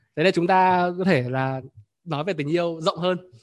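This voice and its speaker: A man speaks at a high pitch against a quiet background. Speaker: workshop host. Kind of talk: live group workshop, talk. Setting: online event with participants. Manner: fluent, conversational.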